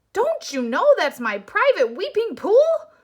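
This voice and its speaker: In a squeaky put-on character voice, a woman speaks extremely high at a fairly slow pace, her pitch swinging very widely. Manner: angry.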